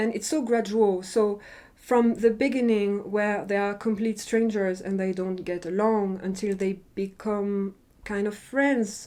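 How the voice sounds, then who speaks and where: Against a quiet background, a woman with a non-native accent speaks fairly slowly in a dark, mellow tone. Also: medium pitch for a woman. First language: not English. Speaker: drama reviewer. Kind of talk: casual review monologue. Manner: animated.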